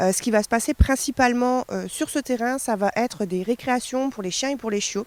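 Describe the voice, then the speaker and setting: A woman at a moderate pace and fairly high pitch, in a dry, close sound with no echo. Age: 20s. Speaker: dog behaviourist and trainer. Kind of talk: interview monologue. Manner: hesitant, many fillers.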